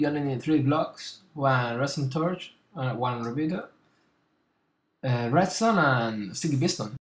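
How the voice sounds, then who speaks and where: Pitched fairly high, a man speaks with ordinary pitch variation. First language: not English. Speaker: gaming YouTuber. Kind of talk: tutorial. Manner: halting, with fillers.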